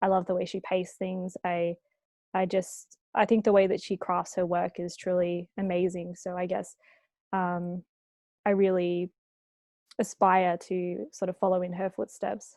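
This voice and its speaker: A woman with a medium-pitched voice speaks with an Australian accent at a moderate pace, her intonation monotone and flat, in a dry, close sound with no echo over a quiet background. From Australia, Sydney. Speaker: author. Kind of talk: interview. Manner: casual, hesitant with fillers.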